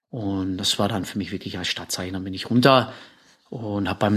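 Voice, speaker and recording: The man's voice sits fairly low in pitch, with fairly even intonation. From Czechoslovakia, south of the Krkonoše mountains. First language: Czech (speaking German). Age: 50s. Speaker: rock climber. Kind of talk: interview. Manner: halting, many fillers and repetitions.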